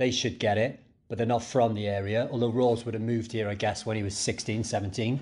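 A man speaks at a fairly quick pace with a Cardiff accent, his intonation fairly even. His tone is dark and mellow against a quiet background. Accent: Cardiff Welsh. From Cardiff, Wales. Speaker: podcast co-host. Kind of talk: casual chat.

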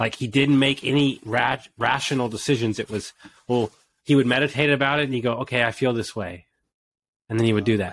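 A man with an American accent, talking at a very fast pace and medium pitch. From Texas, Houston. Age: 40s. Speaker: business owner and coach. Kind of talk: interview. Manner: animated.

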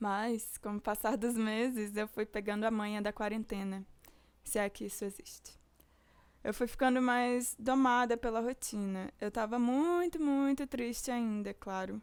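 In a normal speaking voice, a woman talks at a fairly slow pace with fairly high pitch and ordinary pitch variation, on a very clean recording with a silent background. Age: 20s. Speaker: podcast host and music student. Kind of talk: personal monologue.

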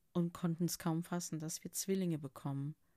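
The speaker is a woman talking at a moderate pace. The sound is dry and close, with no echo. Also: very clean recording, silent background. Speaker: podcaster sharing personal story. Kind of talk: personal testimony monologue.

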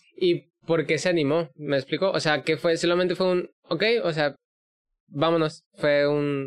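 In a monotone, flat intonation, a man with a fairly high pitch speaks at a fairly slow pace and very even loudness. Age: 20s. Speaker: podcast host. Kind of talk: casual interview.

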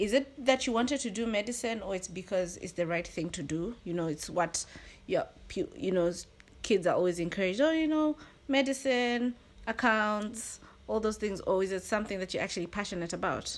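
Speaking at a fairly quick pace, a woman with a plain, everyday voice uses lively intonation at a fairly high pitch. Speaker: podcast host. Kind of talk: casual chat.

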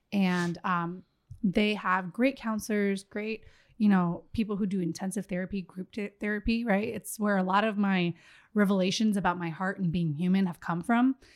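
Fairly even in intonation, a woman at medium pitch speaks at a moderate pace in a normal speaking voice, in a very clean recording with a silent background. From Miami, Florida. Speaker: podcast guest, mother. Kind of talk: casual chat.

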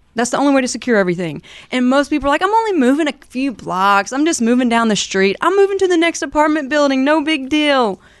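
In a Southern US accent, a woman talks very fast in a high, animated voice with very wide pitch swings, very even loudness and hardly any pauses. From US South, southern Alabama. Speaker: moving company owner. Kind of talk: business interview.

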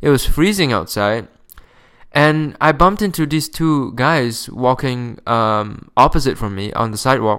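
A man's medium-pitched voice with a non-native accent, lively intonation and a fairly slow pace. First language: not English. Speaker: podcast host. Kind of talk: casual monologue. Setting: home recording, close to microphone. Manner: casual, profane.

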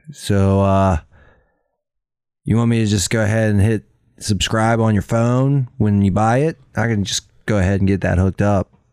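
Putting on a character voice, a man drawls at a fairly low pitch and moderate pace with long, frequent pauses, on a very clean recording with a silent background. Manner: drawling, disinterested, stoner.

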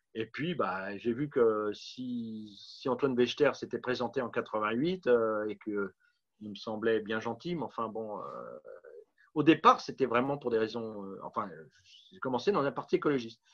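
Medium pitch from a man, fairly slow in tempo, its pitch varying in an ordinary way. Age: 50s. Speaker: political candidate and author. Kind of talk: interview. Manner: halting.

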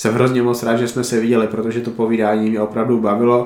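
In a flat monotone, a man speaks at a medium pitch with audible room echo. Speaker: podcast host. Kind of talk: casual interview.

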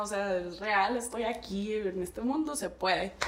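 Speech comes at a moderate pace with audible room echo and noticeable background noise. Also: woman. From Navojoa, Sonora, Mexico. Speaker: artist and entrepreneur. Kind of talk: casual chat.

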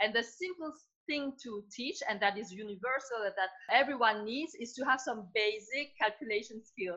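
A woman with a French accent, fairly high pitch and bright, sharp tone, with lively intonation, big swings in loudness and a moderate pace. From France. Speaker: entrepreneur. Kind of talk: interview.

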